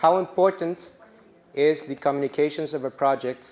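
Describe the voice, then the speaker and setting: Here a man talks with a non-native accent. He holds a moderate pace. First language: not English. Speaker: workshop instructor. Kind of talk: lecture. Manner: halting.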